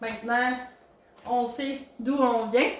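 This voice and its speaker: Over noticeable background noise and audible room echo, a woman speaks very slowly in a high voice with fairly even intonation. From Quebec, Gaspésie (Maria). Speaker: podcast host. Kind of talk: casual interview.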